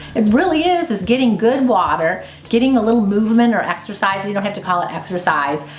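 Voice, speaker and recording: Against noticeable background noise and audible room echo, a woman speaks very fast at a medium pitch, her voice making very wide pitch swings. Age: 50s. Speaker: homesteader and video host. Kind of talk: interview answers. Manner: casual, conversational.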